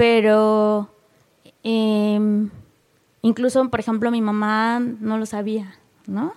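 A woman's fairly high, monotone, flat delivery at a very slow pace, with long, frequent pauses and big swings in loudness. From Mexico, coastal Guerrero. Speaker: poet and editor. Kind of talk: casual interview. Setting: studio booth.

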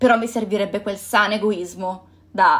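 A woman talks fairly slowly with ordinary pitch variation, captured in a very clean recording with a silent background. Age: 20s. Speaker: podcast host. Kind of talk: solo reflective monologue. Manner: halting.

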